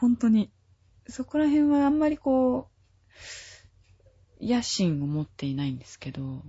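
A woman speaks at a very slow pace, with big swings in loudness. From Tokyo area (grew up in Urayasu). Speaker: singer-songwriter, classically trained. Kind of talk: interview chat.

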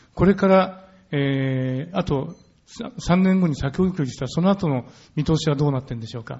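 A man's normal speaking voice, fairly high-pitched, with ordinary pitch variation and a moderate pace. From Japan. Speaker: moderator, journalist. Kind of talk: debate moderation. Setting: stage with audience.

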